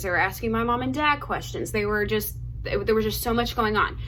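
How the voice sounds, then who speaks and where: A woman's voice comes through noticeable background noise and audible echo from the room. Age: 20s. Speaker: lifestyle vlogger. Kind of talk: storytime monologue. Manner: fast; casual, filler-heavy.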